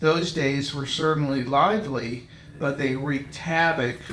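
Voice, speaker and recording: In an American accent, a man with a fairly high pitch talks at a fairly slow pace with ordinary pitch variation. Audible room echo and noticeable background noise fill the recording. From Pittsburgh and Illinois, US. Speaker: visual artist. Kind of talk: reading aloud.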